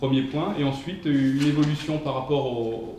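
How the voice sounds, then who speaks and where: A man's voice at a medium pitch. The room echo is audible, and there's noticeable background noise. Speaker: professor. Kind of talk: lecture. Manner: fast; hesitant, many fillers.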